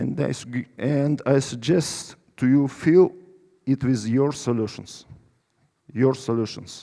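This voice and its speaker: In a Russian accent, a man speaks at a very slow pace with a dark, mellow tone, medium pitch and fairly even intonation. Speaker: company CEO. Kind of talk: conference presentation; audience Q&A. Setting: stage with audience. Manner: halting.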